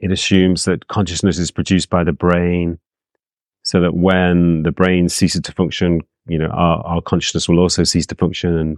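Delivered at a moderate pace, the speech has a dry, close sound with no echo. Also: man. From England. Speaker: psychologist and author. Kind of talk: interview. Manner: calm; halting.

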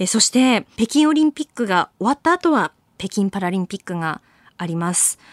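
A woman of medium pitch swings her voice very widely at a moderate pace, captured in a dry, close sound with no echo on a very clean recording with a silent background. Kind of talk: casual chat about Olympic sports.

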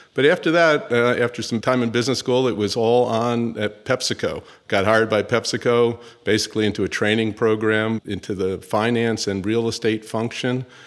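A man speaks at a moderate pace in a normal speaking voice, medium in pitch, with fairly even intonation. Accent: American. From US Northeast, New York City. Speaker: chief executive of a fast food company. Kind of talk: interview.

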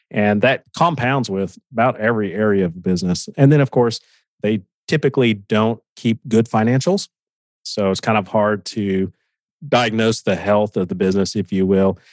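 A man with an American accent talks in a normal speaking voice at a moderate pace, the sound dry and close with no echo over a quiet background. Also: fairly low pitch for a man, ordinary pitch variation. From Oklahoma. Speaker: business coach. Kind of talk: interview.

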